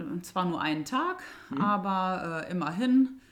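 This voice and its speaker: Here a woman speaks with a fairly low pitch. Her pitch swings very widely. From Germany, Rhineland (Burscheid). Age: 30s. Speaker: young mother, local resident. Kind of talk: casual interview. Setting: at home in dining room.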